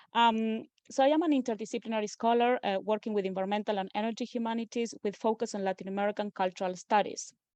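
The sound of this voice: A woman with an Argentine accent, a slightly mellow tone, ordinary pitch variation and a fast pace, in a dry, close sound with no echo. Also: fairly high pitch for a woman. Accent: Argentinian Spanish.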